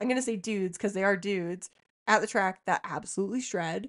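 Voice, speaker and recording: A woman with a Canadian Prairie accent, fairly even intonation and a moderate pace. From Saskatchewan, Canada. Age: 30s. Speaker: podcast co-host, motocross rider. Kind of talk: casual chat.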